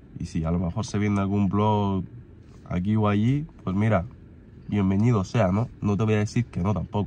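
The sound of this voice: A man speaks at a moderate pace, his pitch fairly low, his tone dark and mellow, his intonation fairly even.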